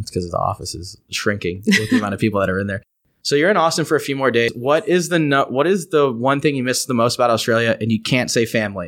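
Lively intonation drives a very fast pace. The recording is very clean, with a silent background. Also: man, medium pitch for a man. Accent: Texan. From East Texas. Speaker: podcast host. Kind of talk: casual chat. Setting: studio.

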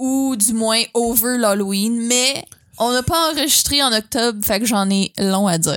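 Speaking with a Quebec accent, a woman uses a fairly high pitch and ordinary pitch variation. Her pace is fairly slow. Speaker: podcast co-host. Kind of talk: casual chat.

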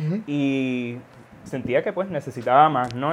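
With an unremarkable speaking voice, a man speaks at a fairly slow pace with ordinary pitch variation. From Puerto Rico-born, raised in Florida from age four. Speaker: seminary student. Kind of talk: casual religious podcast discussion.

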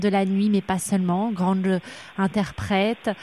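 Captured in a very clean recording with a silent background, a woman speaks at a medium pitch. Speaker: radio interviewer. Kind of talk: interview.

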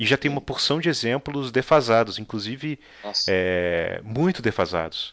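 A plain, everyday voice: a man with a medium pitch, lively intonation and a moderate pace. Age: 30s. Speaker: podcast host. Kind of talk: casual interview.

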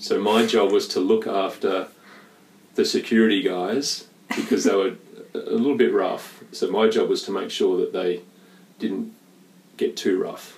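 The speech moves at a fairly slow pace, in an Australian accent. Long pauses come often. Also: man. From Western Australia, Perth. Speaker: sports nutritionist. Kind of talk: casual chat. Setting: at home. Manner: gentle.

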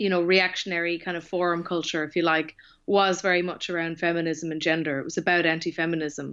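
A woman with an Irish accent speaks at a fairly low pitch against a quiet background. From Ireland. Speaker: author. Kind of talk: interview.

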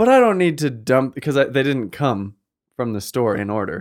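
Medium-pitched man in an unremarkable speaking voice. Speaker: podcast co-host. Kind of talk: casual banter among friends. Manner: playful, chatty.

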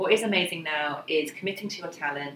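Speaking at a very fast pace, a woman uses ordinary pitch variation. Noticeable background noise runs behind her. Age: 40s. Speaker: career mentor. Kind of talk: podcast interview.

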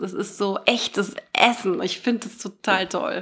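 A woman speaks at a fairly slow pace in a medium pitch. Her tone is bright and sharp, and her intonation is monotone and flat. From Germany, Bonn. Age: 30s. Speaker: radio host and fashion label founder. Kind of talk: casual interview. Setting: in-person studio recording.

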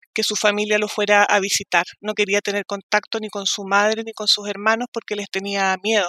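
This woman's voice is bright and sharp, delivered in a flat monotone, with a dry, close sound and no echo. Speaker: family court judge. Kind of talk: testimony.

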